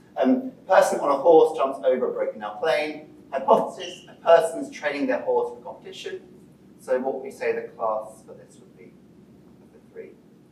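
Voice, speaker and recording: A man with big swings in loudness, audible room echo, and noticeable background noise. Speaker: PhD student presenting research. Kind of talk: lecture. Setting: presentation to a live audience. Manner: fast when enthusiastic; hesitant, many fillers.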